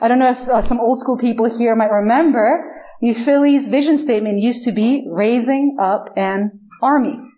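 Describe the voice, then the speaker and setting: A woman's high voice, with ordinary pitch variation, carries over noticeable background noise. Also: moderate pace. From Chile. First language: Spanish. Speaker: pastor. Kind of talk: sermon. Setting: church.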